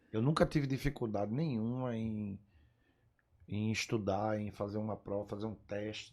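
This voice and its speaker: Using an ordinary speaking voice, a man talks at a moderate pace with a medium pitch and ordinary pitch variation. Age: 60s. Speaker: pest control business owner. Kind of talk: podcast interview. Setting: studio.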